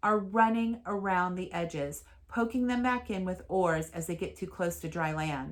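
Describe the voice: What you hear is plain reading aloud.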